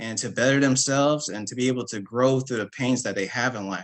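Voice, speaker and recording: A man speaks at a medium pitch. He has an unremarkable speaking voice. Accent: American. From Berkeley, California. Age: 30s. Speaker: artist. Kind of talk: panel discussion.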